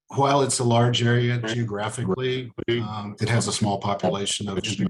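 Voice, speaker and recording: Noticeable background noise is heard behind a man. He speaks at a moderate pace with a medium pitch. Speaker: utility board director. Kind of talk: presentation. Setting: video call. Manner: hesitant, many fillers.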